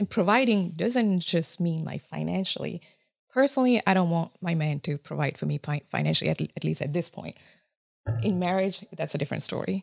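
A woman with a Japanese accent talks at a fairly quick pace, her pitch fairly low and her intonation lively. The recording is very clean with a silent background, and the sound is dry and close with no echo. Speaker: chemical engineer. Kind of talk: casual chat. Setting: studio.

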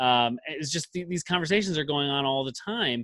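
A man speaks with an ordinary speaking voice. His pace is moderate and his intonation lively. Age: 30s. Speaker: podcast host. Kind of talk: interview.

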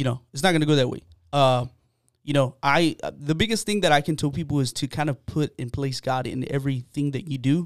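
At a fairly quick pace and fairly high pitch, a man talks with an American accent in a dry, close sound with no echo. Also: ordinary pitch variation. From Texas, San Antonio (south side). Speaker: podcast host. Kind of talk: casual chat. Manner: animated.

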